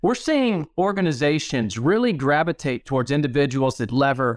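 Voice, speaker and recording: A man with an unremarkable speaking voice talks at a moderate pace in a fairly high pitch, his intonation lively. The recording is very clean, with a silent background. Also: dry, close sound with no echo. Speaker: podcast host. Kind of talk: interview conversation.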